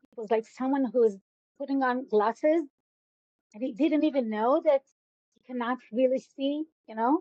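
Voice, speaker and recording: Speaking with an Israeli accent, a woman uses a fairly high pitch with ordinary pitch variation. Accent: Israeli Hebrew. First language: Hebrew. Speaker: educator. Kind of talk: interview. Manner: halting.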